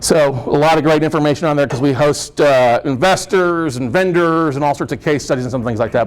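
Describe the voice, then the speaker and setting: A man races along at a very fast pace, with ordinary pitch variation. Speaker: real estate note investor and speaker. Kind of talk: seminar presentation. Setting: meeting room with audience. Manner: loud.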